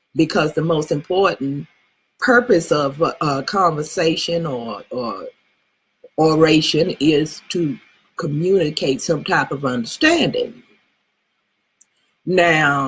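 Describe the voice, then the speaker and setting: The speaker talks at a very slow pace in a South Texas accent. Long, frequent pauses break up the speech. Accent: Southern Texas. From Southern Texas. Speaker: speaking to an audience. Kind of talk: casual, profane. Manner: slurs words.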